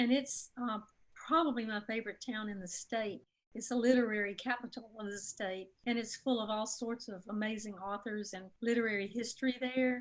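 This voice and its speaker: With a Mississippi accent, a woman speaks at a moderate pace, her loudness swinging widely. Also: fairly high pitch for a woman, fairly even intonation. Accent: Southern US (Mississippi). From Mississippi, US South. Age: 60s. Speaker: author. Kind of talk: interview.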